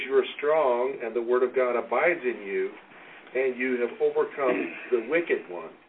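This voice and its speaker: Noticeable background noise runs under the recording. A man talks at a moderate pace and medium pitch. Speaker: pastor. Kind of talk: men's Bible study discussion. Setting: group meeting in person.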